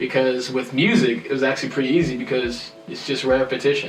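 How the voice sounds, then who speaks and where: Music plays behind a man with a medium pitch and audible room echo. He talks at a fairly quick pace. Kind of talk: casual chat.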